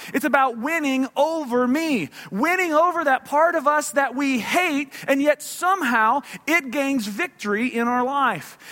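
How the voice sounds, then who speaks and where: Using a raised, projected voice, a man talks at a fairly slow pace with an extremely high pitch, a bright, sharp tone and ordinary pitch variation. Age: 30s. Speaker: pastor. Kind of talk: sermon. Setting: church.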